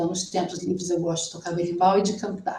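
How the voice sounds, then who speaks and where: A dark, mellow tone in a woman's somewhat breathy voice. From Brazil. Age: 60s. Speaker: student. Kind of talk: oral exam presentation.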